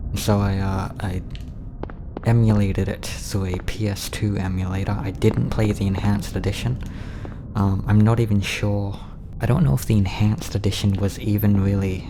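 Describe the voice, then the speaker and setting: A man's fairly low voice with fairly even intonation and a moderate pace, over noticeable background noise. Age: 20s. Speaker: gamer. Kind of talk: casual gameplay commentary. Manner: flat, deadpan.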